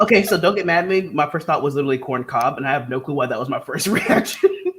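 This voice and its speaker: Over noticeable background noise, the speaker talks at a very fast pace in an animated tone with lively intonation. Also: man, fairly high pitch for a man. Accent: American. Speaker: writing livestream host. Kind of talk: casual chat.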